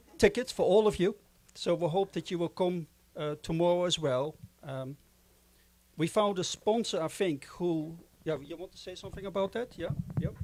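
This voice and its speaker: A man with a Dutch accent speaks at a high pitch with ordinary pitch variation and long, frequent pauses. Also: moderate pace. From Netherlands. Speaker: board chairman of a film organization. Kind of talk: closing remarks at a festival.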